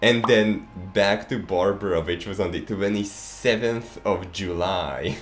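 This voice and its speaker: A man with a non-native accent speaks at a fairly slow pace, fairly low in pitch. His intonation is fairly even, and audible room echo surrounds the voice. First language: not English. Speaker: gaming YouTuber. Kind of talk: casual chat. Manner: halting.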